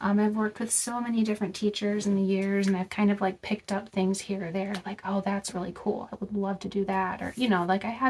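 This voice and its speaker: A woman at a fairly quick pace with hardly any pauses, over noticeable background noise. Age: 30s. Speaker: vlogger. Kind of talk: casual chat. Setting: in a car. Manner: casual, many filler words.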